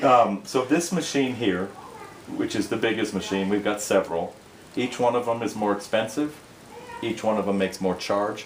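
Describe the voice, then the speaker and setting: A man speaks at a moderate pace with an American accent. His pitch varies in an ordinary way, and there is noticeable background noise. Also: fairly low pitch for a man. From Minnesota. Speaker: product demonstrator. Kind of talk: sales pitch.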